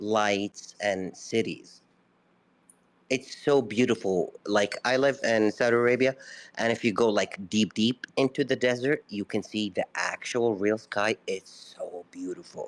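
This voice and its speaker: A man's medium-pitched voice at a fairly slow pace, with fairly even intonation, on a very clean recording with a silent background. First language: not English. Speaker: caller in a live audio room. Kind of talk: casual debate.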